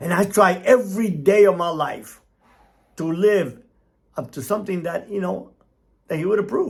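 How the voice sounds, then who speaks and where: A man talks in an animated tone with a Cuban-American accent. His pace is moderate. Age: 60s. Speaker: motivational speaker, former cartel member. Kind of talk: opinion monologue.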